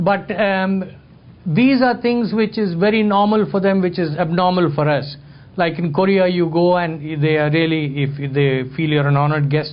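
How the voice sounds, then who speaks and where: Moderate pace, high pitch and very even loudness from a man, with ordinary pitch variation and audible room echo. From India. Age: 60s. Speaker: photographer and lecturer. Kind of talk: talk to an audience, storytelling.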